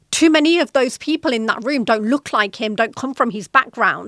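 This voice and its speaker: With a British accent, a woman speaks at a fairly quick pace with lively intonation. Her fairly high voice sounds dry and close with no echo. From Britain. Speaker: podcast host, corporate executive. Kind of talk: solo podcast talk.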